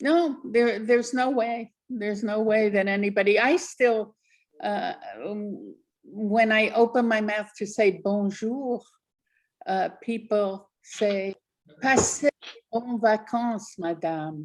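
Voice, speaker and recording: Speaking very slowly with an American accent, a woman uses a fairly high pitch and ordinary pitch variation. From New Jersey, US. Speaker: author. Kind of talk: interview.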